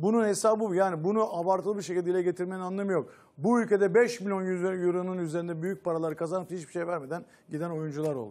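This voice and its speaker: Against a quiet background, a man talks very fast at a high pitch, in an animated tone with ordinary pitch variation. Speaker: football pundit. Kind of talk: panel discussion. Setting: studio. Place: studio. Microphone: lapel.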